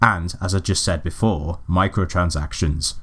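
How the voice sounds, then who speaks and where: A somewhat breathy male voice at a moderate pace. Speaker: video game reviewer. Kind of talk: scripted game review narration.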